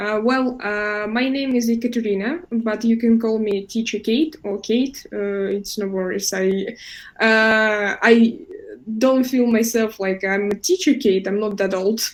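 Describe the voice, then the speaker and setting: In a Russian accent, a woman speaks at a fairly slow pace with a fairly high pitch. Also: ordinary pitch variation. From Russia, Moscow. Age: 20s. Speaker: English teacher. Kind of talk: online class. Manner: hesitant, many fillers.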